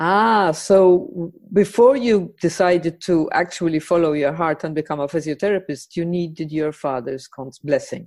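A woman speaks in an ordinary speaking voice, fairly low in pitch with ordinary pitch variation, at a moderate pace with hardly any pauses. The recording is very clean, with a silent background. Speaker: podcast host. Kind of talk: interview conversation.

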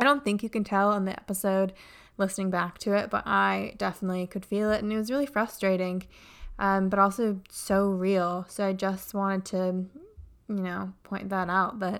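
A woman talks at a moderate pace, pitched at medium. Hers is an unremarkable speaking voice, its intonation fairly even. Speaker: podcast host. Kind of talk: casual chat interview.

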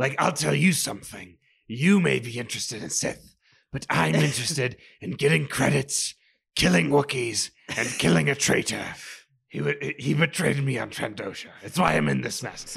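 A man's put-on character voice, raspy, at medium pitch and a moderate pace.

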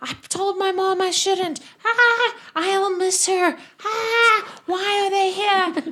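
A woman's put-on character voice, extremely high, shouting and mumbling at a very slow pace. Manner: screaming, mumbling incoherently.

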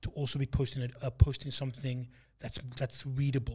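A man speaks at a moderate pace in a somewhat breathy, medium-pitched voice, recorded very cleanly against a silent background. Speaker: podcast co-host. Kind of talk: casual chat.

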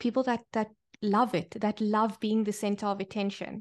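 Against a quiet background, a woman with a normal speaking voice and fairly high pitch speaks at a moderate pace with fairly even intonation. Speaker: podcast host. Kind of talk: casual interview chat.

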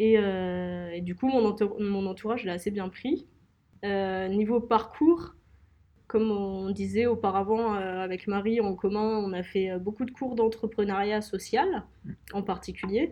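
A woman at medium pitch, very slow pace, and ordinary pitch variation. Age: 20s. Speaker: young entrepreneur, co-founder. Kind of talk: interview.

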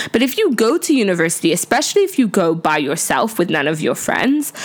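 Against noticeable background noise, a woman speaks at a fairly quick pace and medium pitch. Her tone is animated, with very wide pitch swings. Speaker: podcast host. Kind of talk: casual solo talk.

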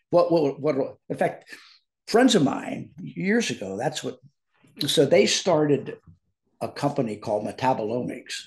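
With an American accent, a man speaks fairly slowly in a fairly high, somewhat breathy voice, swinging his pitch very widely and leaving long, frequent pauses. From US Midwest. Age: 70s. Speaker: biotechnology professor. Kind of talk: casual chat.

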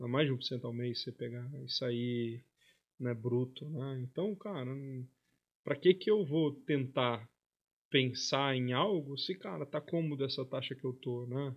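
With a plain, everyday voice, a man talks at a fairly slow pace, medium in pitch with ordinary pitch variation. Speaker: investment office manager. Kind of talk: casual interview chat. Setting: studio.

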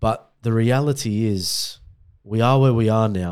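The voice carries an Australian accent and ordinary pitch variation. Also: man, very clean recording, silent background. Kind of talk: casual chat.

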